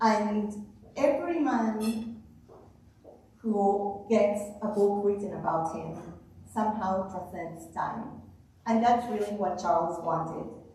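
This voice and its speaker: A woman speaks very slowly, leaving long, frequent pauses. Audible room echo and noticeable background noise surround her voice. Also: medium pitch for a woman, ordinary pitch variation. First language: not English. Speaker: author and speaker. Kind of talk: talk to a club audience.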